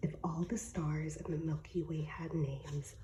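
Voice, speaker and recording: Soft-spoken and fairly slow, a woman talks with a very deep, low pitch. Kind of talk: ASMR reading random facts. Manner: soft-spoken, relaxing.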